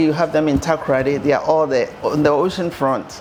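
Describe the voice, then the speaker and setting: Over noticeable background noise, a woman with a very deep, low voice talks at a fairly quick pace in a monotone, flat way. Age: 60s. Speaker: home builder. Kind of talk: guided tour interview.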